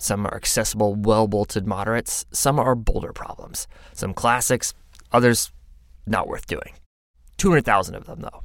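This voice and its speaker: A man speaks in an ordinary speaking voice, medium in pitch with ordinary pitch variation, at a moderate pace. His loudness swings widely. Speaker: podcast narrator. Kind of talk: scripted narration.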